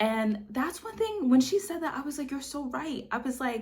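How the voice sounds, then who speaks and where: With music playing in the background, a woman talks at a moderate pace with lively intonation. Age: 20s. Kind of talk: casual talk to camera. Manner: warm, conversational.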